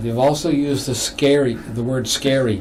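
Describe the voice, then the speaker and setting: Moderate-paced speech from a man amid noticeable background noise and audible room echo. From Massachusetts, US. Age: 60s. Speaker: novelist. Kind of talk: interview on local TV show. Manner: halting.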